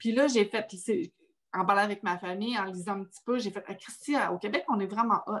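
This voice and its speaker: Her pitch medium and its variation ordinary, a woman is talking. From Quebec. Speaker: podcast host. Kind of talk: casual chat.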